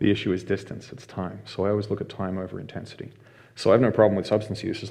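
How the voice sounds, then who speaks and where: This man talks at a very fast pace with an Australian accent. His fairly low voice is dark and mellow, with monotone, flat intonation. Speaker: mental health facilitator and violence prevention instructor. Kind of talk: casual interview.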